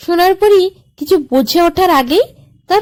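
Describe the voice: A woman's slightly mellow voice at a fairly slow pace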